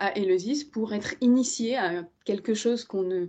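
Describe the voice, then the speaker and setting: Her medium-pitched voice has a dark, mellow tone, and the woman shows ordinary pitch variation. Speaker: historian. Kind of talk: lecture. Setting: video call. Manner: halting, many hesitations.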